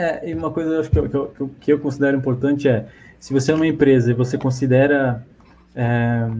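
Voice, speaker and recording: Dark and mellow, a man's fairly high voice carries fairly even intonation. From Blumenau, southern Brazil. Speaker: software engineer. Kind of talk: casual chat. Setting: live video stream.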